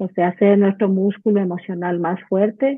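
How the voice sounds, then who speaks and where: At a fairly slow pace, a woman with a normal speaking voice keeps a medium pitch and fairly even intonation. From Ecuador. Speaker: clinical psychologist. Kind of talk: casual interview chat.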